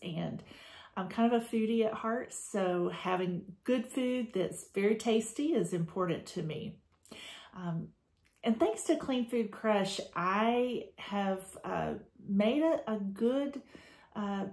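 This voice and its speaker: Speaking at a very slow pace, a woman has a fairly high, somewhat breathy voice with ordinary pitch variation. She talks with an American accent. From Georgia, USA. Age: 50s. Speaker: school administrator. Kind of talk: testimonial talk to camera.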